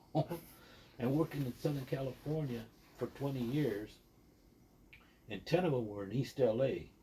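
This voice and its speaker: A man talks at a moderate pace with long, frequent pauses, his tone dark and mellow and somewhat breathy. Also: medium pitch for a man, ordinary pitch variation. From Texas border region, later Sandusky, Ohio. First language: Spanish. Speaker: podcast guest sharing life story. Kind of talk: casual interview.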